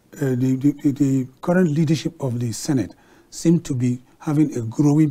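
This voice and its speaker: Dark and mellow in tone, a man's voice is somewhat breathy. He talks at a moderate pace with fairly even intonation. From Nigeria. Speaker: TV talk show host. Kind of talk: live TV discussion moderation. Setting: TV studio. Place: studio. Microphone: lapel.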